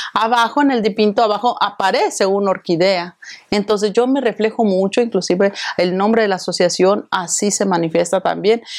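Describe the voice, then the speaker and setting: A woman talks at a fairly quick pace in a medium pitch with ordinary pitch variation and very even loudness, in an ordinary speaking voice. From Mexico. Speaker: event organizer and association president. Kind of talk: interview.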